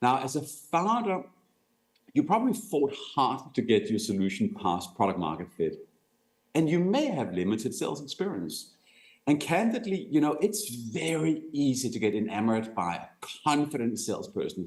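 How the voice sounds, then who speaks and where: A man with a Danish accent speaks in a fairly high voice with vocal fry. His pitch swings very widely. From Denmark. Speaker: company executive, sales speaker. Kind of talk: conference talk.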